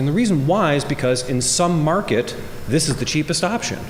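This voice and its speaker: A man is recorded with audible room echo and noticeable background noise. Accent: American. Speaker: government energy official and scientist. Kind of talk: conference keynote speech. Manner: fast; animated.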